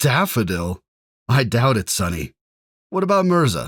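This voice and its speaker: A man at a medium pitch puts on a character voice with very wide pitch swings, recorded dry and close with no echo. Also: moderate pace, very clean recording, silent background. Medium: read story. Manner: hearty, bantering.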